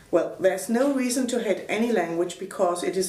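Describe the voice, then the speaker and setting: A woman talks at a moderate pace in a German accent. Noticeable background noise and audible room echo are present. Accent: German (Franconian) accent in English. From Upper Franconia, Germany. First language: Franconian German. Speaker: language activist and translator. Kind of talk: reading aloud written interview answers.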